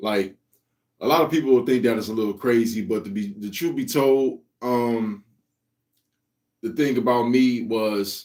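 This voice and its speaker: A man at medium pitch talks with ordinary pitch variation and takes long, frequent pauses. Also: moderate pace. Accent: American. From US Midwest, Cleveland, Ohio. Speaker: comic creator, livestream host. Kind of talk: casual livestream chat. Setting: live stream. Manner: laid-back.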